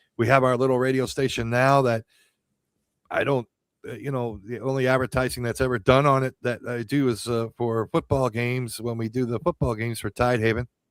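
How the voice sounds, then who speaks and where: In an American accent, a man speaks at a fairly quick pace and medium pitch with monotone, flat intonation. The recording is very clean with a silent background and a dry, close sound with no echo. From Pennsylvania, Allentown. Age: 60s. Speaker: radio host and county judge candidate. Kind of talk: campaign talk on radio show. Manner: halting, many fillers and repeats.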